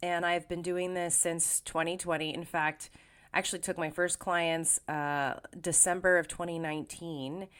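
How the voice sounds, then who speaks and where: Over a silent background in a very clean recording, a woman speaks at a moderate pace in a relaxed tone with monotone, flat intonation. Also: fairly low pitch for a woman. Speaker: podcast host and life coach. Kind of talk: casual podcast monologue. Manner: relaxed, with frequent fillers.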